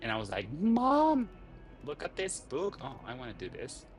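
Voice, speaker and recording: With a non-native accent, a man speaks at a fairly slow pace using lively intonation. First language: not English. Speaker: gaming streamer. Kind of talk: casual game stream commentary. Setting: home living room. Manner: relaxed, hesitant with many fillers.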